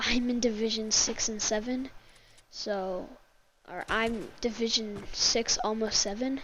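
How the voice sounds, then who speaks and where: At a fairly slow pace, a woman speaks in a fairly high voice with fairly even intonation. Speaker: gaming YouTuber. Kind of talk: gameplay commentary tutorial. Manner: halting, many fillers; casual.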